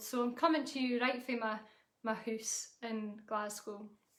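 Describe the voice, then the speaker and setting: A woman speaks at a high pitch in a monotone, flat intonation. Her moderate pace comes with audible room echo. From Scotland, Aberdeenshire (Huntly). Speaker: folk singer. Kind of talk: casual live-stream chat. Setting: home live stream on laptop. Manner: casual, hesitant with many fillers.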